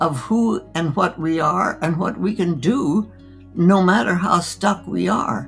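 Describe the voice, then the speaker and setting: Over music in the background, a woman speaks at a very slow pace with a fairly low pitch. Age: 80s+. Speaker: physician. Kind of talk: interview answer.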